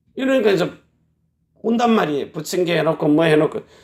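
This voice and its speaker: A loud man with lively intonation. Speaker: pastor. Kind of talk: sermon.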